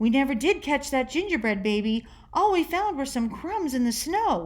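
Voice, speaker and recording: A woman's raised, projected put-on character voice, high in pitch and at a moderate pace, over light background noise. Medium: read story.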